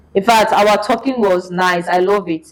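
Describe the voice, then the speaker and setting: A woman with a Nigerian accent over noticeable background noise. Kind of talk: casual storytelling in podcast conversation.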